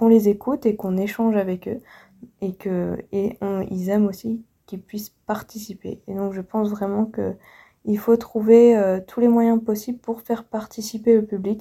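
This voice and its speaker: On a very clean recording with a silent background, a woman with a dark, mellow tone talks fairly slowly in a flat monotone. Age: 20s. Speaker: museum guide. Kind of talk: recorded personal message. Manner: halting, many restarts.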